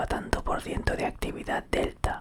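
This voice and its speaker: Someone whispers at a fairly slow pace. Noticeable background noise can be heard. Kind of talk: whispered ASMR reading of an encyclopedia article, sleep aid. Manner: whispered.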